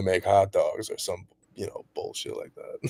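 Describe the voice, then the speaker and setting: In a very clean recording with a silent background, a man speaks at a fairly slow pace. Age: 30s. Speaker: rapper and musician. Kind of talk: interview conversation. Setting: livestream podcast. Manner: casual, lots of fillers.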